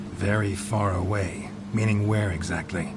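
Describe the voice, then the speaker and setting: A man speaks at a moderate pace in a put-on character voice, fairly low in pitch, over loud background noise. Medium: machinima. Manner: terse, dry, gruff.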